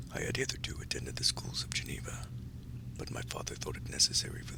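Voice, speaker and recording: Someone whispers at a very fast pace over noticeable background noise. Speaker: audiobook narrator. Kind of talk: sleep story. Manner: soft-spoken, creepy.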